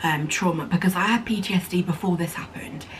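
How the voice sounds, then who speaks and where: In an English accent, a woman with a fairly low pitch talks at a moderate pace with fairly even intonation against noticeable background noise. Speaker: vlogger. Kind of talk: casual chat.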